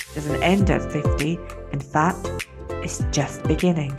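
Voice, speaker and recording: With music in the background, a woman talks at a fairly unhurried pace. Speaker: podcast host. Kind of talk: podcast intro.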